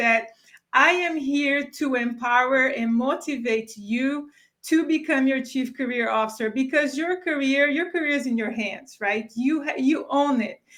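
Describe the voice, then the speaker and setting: A woman speaks with a non-native accent at a moderate pace. Her high voice has a bright, sharp tone and ordinary pitch variation. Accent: foreign. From Brazil. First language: Portuguese. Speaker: career strategist. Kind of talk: live webinar chat. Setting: video livestream.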